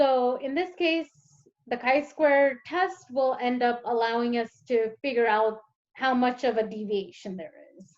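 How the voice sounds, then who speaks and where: Over a quiet background, a woman talks at a fairly slow pace in a high voice. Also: ordinary pitch variation, big swings in loudness. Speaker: teaching assistant; teacher or tutor. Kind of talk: tutorial. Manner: hesitant, many fillers. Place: home room. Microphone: webcam.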